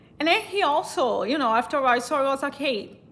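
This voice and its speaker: The speaker talks at a moderate pace with a Brazilian accent. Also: woman. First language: Portuguese. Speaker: vlogger. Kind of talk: casual storytelling. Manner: halting.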